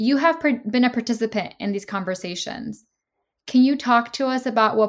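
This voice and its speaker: A woman speaks at a moderate pace in a normal speaking voice, her fairly high pitch carried by lively intonation on a very clean recording with a silent background. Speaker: podcast host. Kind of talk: interview. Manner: formal.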